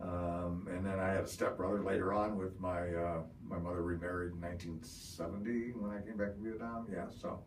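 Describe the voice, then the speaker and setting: Amid noticeable background noise and audible room echo, a man with a Midwestern accent speaks in a very deep, low voice. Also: fairly even intonation, fairly quick pace. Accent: US Midwest (Ohio). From Ohio, US Midwest. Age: 60s. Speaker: Vietnam war veteran. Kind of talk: oral history interview. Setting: interview in Parma, Ohio.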